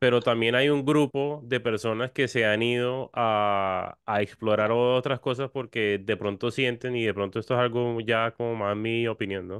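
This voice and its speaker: Recorded dry with no echo over a quiet background, a man talks at a fairly slow pace with fairly even intonation and hardly any pauses. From Cartagena, Colombia; Colombia. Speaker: musician; guest. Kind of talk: interview. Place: home room. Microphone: studio mic.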